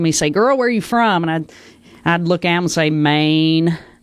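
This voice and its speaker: On a very clean recording with a silent background, a woman with a Southern accent talks at a very fast pace in a fairly low pitch. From Arkansas, Batesville. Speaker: political candidate. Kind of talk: debate opening statement.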